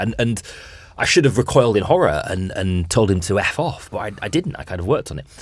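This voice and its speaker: A man's fairly low voice, an unremarkable speaking voice at a fairly quick pace, on a very clean recording with a silent background. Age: 30s. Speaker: podcast host. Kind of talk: casual interview chat.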